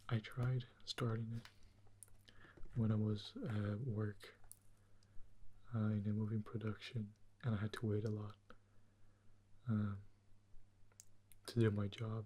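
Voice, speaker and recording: A somewhat breathy man speaks at a fairly slow pace and a fairly low pitch, in a monotone, flat delivery broken by long, frequent pauses. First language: Portuguese. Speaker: ASMR creator. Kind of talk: ASMR soft-spoken commentary. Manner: soft-spoken; hesitant, with fillers.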